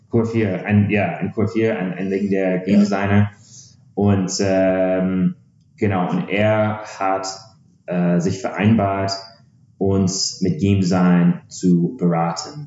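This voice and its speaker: Over noticeable background noise, a man with an English accent talks at a very slow pace, his pitch fairly low and his intonation fairly even. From USA. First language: English (speaking German). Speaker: startup founder, game developer. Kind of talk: podcast interview. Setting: in the same room as host. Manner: halting, many filler sounds.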